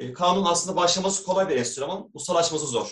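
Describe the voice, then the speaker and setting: A man speaks in a high-pitched voice. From Istanbul, Turkey. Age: 40s. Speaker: doctor and amateur kanun player. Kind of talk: interview.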